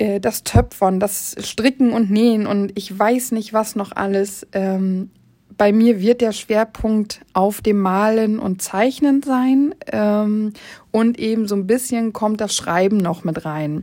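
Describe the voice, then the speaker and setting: Speaking very slowly, a woman has a dark, mellow tone. Her pitch is fairly high, with ordinary variation. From northern Germany, Oldenburg. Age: 30s. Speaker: podcast host, educator and hobby painter. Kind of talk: solo podcast monologue, casual.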